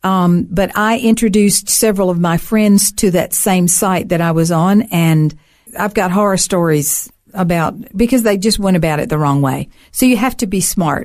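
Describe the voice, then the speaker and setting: The speaker has a Southern US accent. Their loudness stays very even. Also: woman, medium pitch for a woman, ordinary pitch variation, moderate pace. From US South, Alabama. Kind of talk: casual interview.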